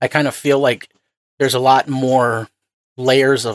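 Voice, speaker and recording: A man speaks at medium pitch in a plain, everyday voice. The sound is dry and close, with no echo. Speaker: podcast host. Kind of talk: interview.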